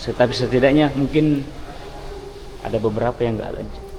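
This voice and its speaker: Someone soft-spoken talks at a moderate pace with fairly even intonation, with audible room echo and noticeable background noise. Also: man. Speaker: travel vlogger. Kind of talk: vlog walkthrough tour. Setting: mosque, on location. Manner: halting.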